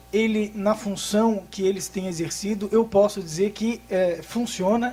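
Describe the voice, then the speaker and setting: In a Florianópolis accent, a man speaks at a high pitch with fairly even intonation. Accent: Florianópolis accent, noticeable. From Florianópolis, southern Brazil. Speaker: tax lawyer. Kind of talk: conference talk. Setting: workshop with audience. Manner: fast; hesitant, many fillers.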